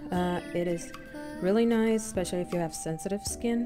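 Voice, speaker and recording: Over music in the background, a woman with a non-native accent speaks at a fairly low pitch with ordinary pitch variation. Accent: non-native English pronunciation. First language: non-native English speaker. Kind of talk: casual talk to camera. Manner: hesitant, many fillers.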